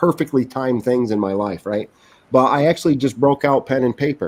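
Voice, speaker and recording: A man talks at a fairly quick pace with a New England accent. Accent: Yankee (New England). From Vermont (Bennington). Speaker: gubernatorial candidate. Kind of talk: casual interview.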